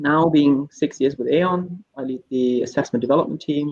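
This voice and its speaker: Pitched fairly high, a man speaks with a German accent at a moderate pace and with ordinary pitch variation. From Germany (Hamburg). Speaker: AI researcher and assessment team lead. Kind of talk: panel discussion.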